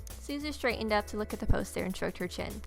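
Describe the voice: Over clear background music, a woman at a medium pitch speaks fast with lively intonation and vocal fry.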